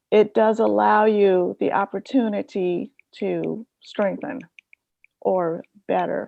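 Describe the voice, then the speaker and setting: A woman speaks at a very slow pace. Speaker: professional development trainer. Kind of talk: workshop lecture. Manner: soft-spoken.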